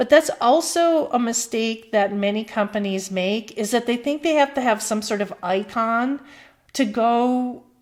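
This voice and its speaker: A woman with an American accent speaks at a fairly slow pace, her fairly high pitch showing ordinary variation. The recording is very clean with a silent background. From US Midwest. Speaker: marketing professor. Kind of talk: lecture. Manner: casual with filler words.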